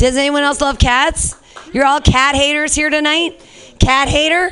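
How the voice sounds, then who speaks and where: A woman talks in a raised, projected voice. Her pitch is high. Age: 40s. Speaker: comedy show host. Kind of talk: stand-up. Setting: stage with audience. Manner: animated.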